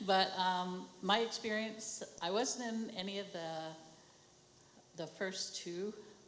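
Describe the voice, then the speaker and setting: Delivered at a very slow pace with ordinary pitch variation, the voice carries audible room echo over noticeable background noise. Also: woman, long, frequent pauses, big swings in loudness. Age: 70s. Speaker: traditional medicine program worker. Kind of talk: personal testimony.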